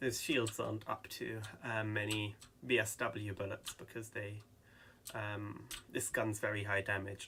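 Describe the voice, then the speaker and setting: A man speaks with fairly low pitch. His intonation is monotone and flat. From England. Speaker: gaming YouTuber. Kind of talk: gameplay commentary. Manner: hesitant, many ums.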